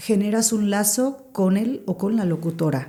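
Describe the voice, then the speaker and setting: Her voice has a dark, mellow tone, as a woman speaks with a medium pitch. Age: 40s. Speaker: radio broadcaster. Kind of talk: podcast interview.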